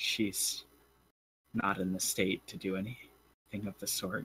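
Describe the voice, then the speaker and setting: A man puts on a character voice that is soft-spoken, raspy and fairly low in pitch. He talks at a fairly slow pace with monotone, flat intonation. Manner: sad, with a soft sad laugh.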